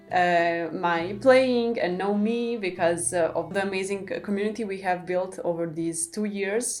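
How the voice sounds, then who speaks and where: Music plays behind a woman with a Serbian accent who speaks at a fairly slow pace with hardly any pauses. Her pitch is medium, and its variation is ordinary. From Serbia, Belgrade. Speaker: classical guitarist and music student. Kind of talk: casual Q&A talking to camera.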